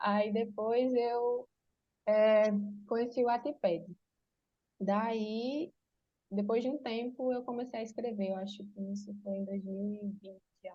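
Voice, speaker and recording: Somewhat breathy, a woman speaks at a very slow pace with fairly even intonation and long, frequent pauses. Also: fairly high pitch for a woman. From Brazil, Pernambuco (Exu). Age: 20s. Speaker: writer. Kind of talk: interview. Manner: halting, many fillers.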